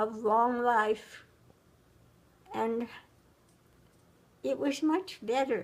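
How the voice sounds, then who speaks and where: A woman speaks at a very slow pace. Her voice is high, and her intonation stays fairly even. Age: 90s. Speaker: retired schoolteacher. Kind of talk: casual interview about life story. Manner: halting, repeats words.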